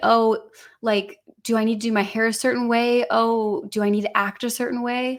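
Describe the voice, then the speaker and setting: A woman talks with an American accent and a fairly high pitch. She has a normal speaking voice. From US Midwest, Illinois. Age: 20s. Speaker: singer. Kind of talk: testimony.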